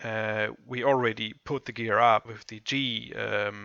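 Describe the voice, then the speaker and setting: A man's medium-pitched voice with a German accent, vocal fry and fairly even intonation. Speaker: software tutorial presenter. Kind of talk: tutorial. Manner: halting, many fillers.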